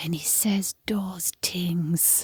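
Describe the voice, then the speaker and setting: This is a put-on character voice that sounds female. It is raspy, with a fairly low pitch for a woman. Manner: creepy.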